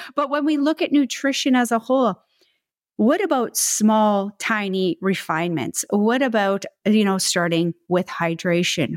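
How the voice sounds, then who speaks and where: A woman with a normal speaking voice, medium pitch, lively intonation, very even loudness and a moderate pace, in a dry, close sound with no echo and a very clean recording with a silent background. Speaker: podcast co-host, holistic nutritionist. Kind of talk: casual chat, co-hosted podcast.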